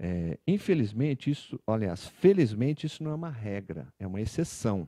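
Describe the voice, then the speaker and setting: A man with a dark, mellow tone speaks at a moderate pace with very wide pitch swings, in a dry sound with no echo over a quiet background. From Brazil. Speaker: orthopedic and sports medicine doctor; guest. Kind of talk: TV talk show interview. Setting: TV studio. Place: studio. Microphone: handheld.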